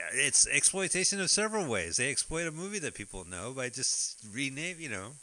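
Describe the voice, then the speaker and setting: Fairly quick and bright with a sharp tone, a man speaks in an American accent. His pitch swings very widely, and vocal fry comes through. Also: fairly high pitch for a man. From US East Coast. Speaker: podcast host. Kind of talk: casual chat. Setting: live radio broadcast.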